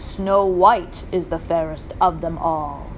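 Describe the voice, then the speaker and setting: A woman puts on a character voice with a fairly low pitch. She speaks at a fairly slow pace, with clear background noise behind her. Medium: read story. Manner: formal, solemn.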